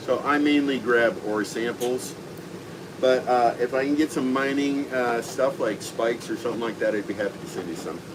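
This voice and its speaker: Noticeable background noise sits behind speech that has ordinary pitch variation and a moderate pace. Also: man, medium pitch for a man. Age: 60s. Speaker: veterans outreach organizer. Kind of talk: casual chat.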